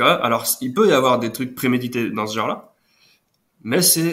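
This is a man speaking at a medium pitch. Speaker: nature photographer. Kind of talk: casual interview. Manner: halting, hesitant.

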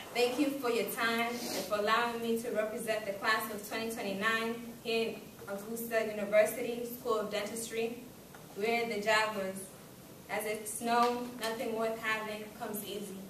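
Delivered at a moderate pace, the speech carries audible room echo and noticeable background noise. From Kenya. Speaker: student giving graduation speech. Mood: formal, grateful. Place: classroom. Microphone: camera far.

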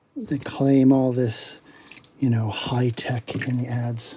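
A man at a very slow pace amid noticeable background noise. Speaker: product reviewer. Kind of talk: casual unboxing review. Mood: dismissive, unimpressed. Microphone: phone near.

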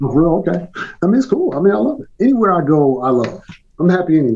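A man with an American accent talks at a very fast pace and a fairly high pitch, with big pitch swings. His tone is slightly mellow with a slightly husky edge.

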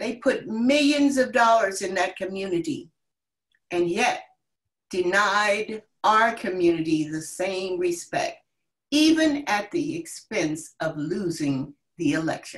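Against a quiet background, a woman with an American accent speaks at a very slow pace with very wide pitch swings. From US Northeast. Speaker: community leader. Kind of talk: panel discussion. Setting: video call. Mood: earnest, impassioned. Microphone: video call.

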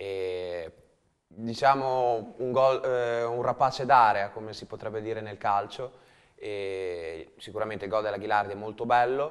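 A man with fairly low pitch speaks in an unremarkable speaking voice with ordinary pitch variation. His loudness swings widely over a quiet background. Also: fairly slow pace. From Romagna, Italy; Italy. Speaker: handball coach. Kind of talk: casual chat. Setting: studio. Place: studio. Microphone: lapel.

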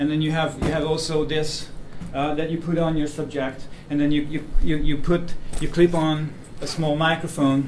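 With light background noise and audible room echo, a man talks at a moderate pace. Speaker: presenter. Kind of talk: lecture. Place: meeting room. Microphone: camera far.

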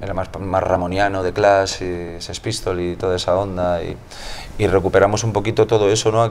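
Over light background noise, a man with a fairly low pitch speaks at a fairly quick pace in a monotone, flat delivery. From Spain. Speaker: musician in a tribute band, music teacher. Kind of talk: interview. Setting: music venue. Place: bar. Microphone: lapel.

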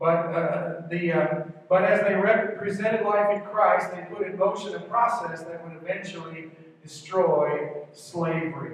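This man talks at a high pitch with fairly even intonation. Strong room echo surrounds his voice. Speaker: pastor. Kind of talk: sermon. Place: church.

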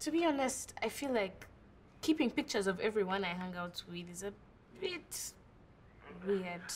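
Against light background noise, a woman's somewhat breathy voice makes very wide pitch swings and big swings in loudness. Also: moderate pace. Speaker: actress in short film. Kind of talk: acted phone conversation. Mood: mildly exasperated, fond. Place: home room.

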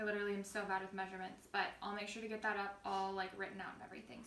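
With some room echo audible and a little noise in the background, a woman is talking. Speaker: lifestyle vlogger. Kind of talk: casual cooking tutorial chat. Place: kitchen.

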